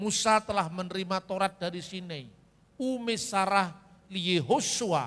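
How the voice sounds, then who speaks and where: A man with a Javanese accent talks at a high pitch and fairly slow pace, with ordinary pitch variation. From Java, Indonesia. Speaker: preacher. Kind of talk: sermon.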